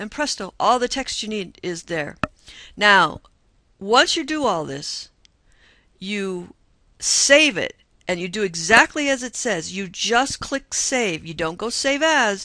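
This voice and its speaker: A woman's medium-pitched, bright and sharp voice at a very slow pace, with very wide pitch swings, long and frequent pauses, and a quiet background. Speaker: college computer instructor. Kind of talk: screen-recorded tutorial.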